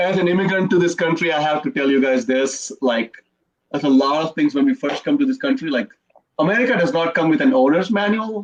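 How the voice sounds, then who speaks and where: A man with an Indian accent at a high pitch, at a very fast pace, with very wide pitch swings. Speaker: comedian. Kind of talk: stand-up.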